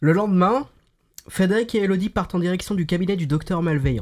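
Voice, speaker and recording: Using a high pitch and ordinary pitch variation, a man talks at a fairly quick pace. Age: 20s. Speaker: podcast host. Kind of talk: casual chat.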